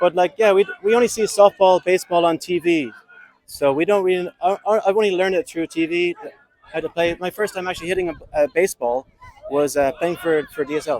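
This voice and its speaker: In an Irish accent, a man talks at a fairly quick pace with a high pitch and ordinary pitch variation. The sound is dry and close, with no echo. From Ireland. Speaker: amateur softball player. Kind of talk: podcast interview.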